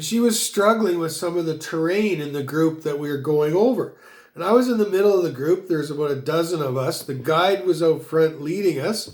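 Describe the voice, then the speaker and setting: Speaking in a Canadian accent, a man uses a high pitch with ordinary pitch variation. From Canada. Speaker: business consultant. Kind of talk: motivational monologue. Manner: fast.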